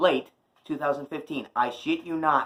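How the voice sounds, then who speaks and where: At a fairly slow pace, a man speaks in a fairly high pitch. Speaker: YouTuber doing unboxing videos. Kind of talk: casual unboxing vlog. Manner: shouting a little.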